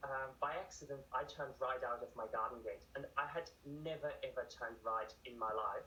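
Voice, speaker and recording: Over noticeable background noise, a man with a German accent talks at a moderate pace. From Germany. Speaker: author and ultramarathon runner. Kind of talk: TV news interview.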